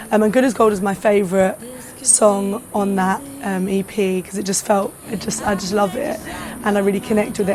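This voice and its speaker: Noticeable background noise can be heard. Over it, a woman speaks at a fairly quick pace. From London. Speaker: singer-songwriter. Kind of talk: interview answer.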